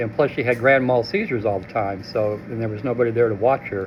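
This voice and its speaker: A man's medium-pitched voice races along at a very fast clip, his intonation fairly even, with noticeable noise in the background. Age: 70s. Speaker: formerly homeless shelter resident. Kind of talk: interview testimony. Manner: halting, many fillers.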